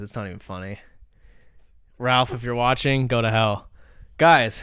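A man speaks at a fairly slow pace in a bright, sharp tone with ordinary pitch variation, on a very clean recording with a silent background. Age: 20s. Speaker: podcast host and streamer. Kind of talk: casual chat. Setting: home streaming setup.

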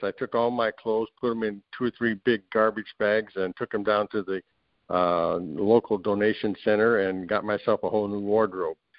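A man with an American accent speaks at a moderate pace in a normal speaking voice. His pitch is fairly low and his intonation fairly even. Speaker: program participant sharing his success story. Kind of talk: casual interview. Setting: video call.

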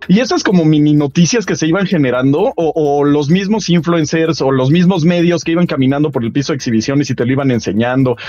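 A man speaks at a very fast pace with hardly any pauses. Noticeable background noise sits behind him. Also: fairly high pitch for a man, ordinary pitch variation. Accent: Mexican. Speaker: video game show host. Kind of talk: casual chat. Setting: remote video call.

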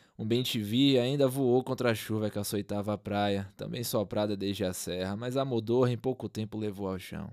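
A man with a Brazilian accent speaks at a moderate pace, with hardly any pauses. His fairly low voice has fairly even intonation, and the recording is very clean with a silent background. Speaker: narrator and podcast host. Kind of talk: dramatic literary narration, reading a short story aloud. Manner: measured, atmospheric, ominous storyteller pacing; solemn, lyrical, with suspenseful pauses.

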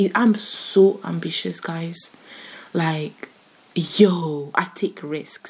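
A woman's fairly low voice with ordinary pitch variation, set against noticeable background noise. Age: 20s. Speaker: podcast host. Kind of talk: casual solo podcast monologue. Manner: casual, chatty.

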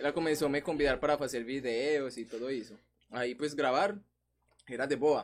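A man with a Spanish accent at a moderate pace and fairly high pitch, ordinary pitch variation, and long, frequent pauses. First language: Spanish (speaking Portuguese). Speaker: influencer. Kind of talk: casual chat.

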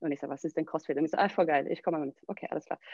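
A woman talks with ordinary pitch variation while music plays in the background. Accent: Swedish. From southern Sweden. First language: Swedish (speaking German). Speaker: CrossFit gym owner and coach. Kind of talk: casual interview.

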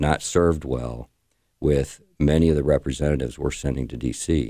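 A man with a Midwestern American accent speaks in a very deep, low voice with a dark, mellow tone. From Indiana, St. Joseph County. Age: 50s. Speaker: congressional candidate. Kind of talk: radio interview.

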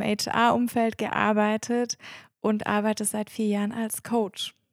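In a very clean recording with a silent background and a dry, close sound with no echo, a woman speaks at a fairly high pitch with monotone, flat intonation. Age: 30s. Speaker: systemic coach and podcast co-host. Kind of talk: casual podcast introduction.

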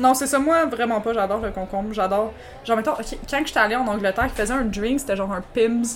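Very fast and fairly high in pitch, a woman speaks with ordinary pitch variation over noticeable background noise. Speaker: podcast co-host. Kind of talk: casual chat, gin tasting.

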